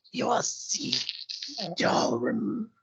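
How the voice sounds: A man puts on a raspy character voice.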